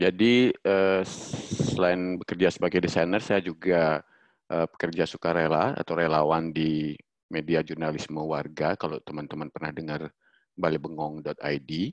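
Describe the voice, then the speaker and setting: A man with a very deep, low pitch talks at a moderate pace with fairly even intonation, the sound dry with no echo and the background quiet. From Bali. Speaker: freelance designer and social media specialist. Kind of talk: online workshop presentation. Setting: video call. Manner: hesitant, many filler sounds. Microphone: video call.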